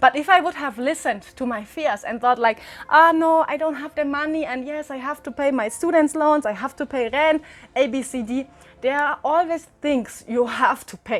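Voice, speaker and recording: With music in the background, the voice moves at a moderate pace, showing ordinary pitch variation and big swings in loudness. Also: woman, high pitch for a woman. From Germany. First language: German. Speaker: travel vlogger. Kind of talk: tutorial. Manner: animated.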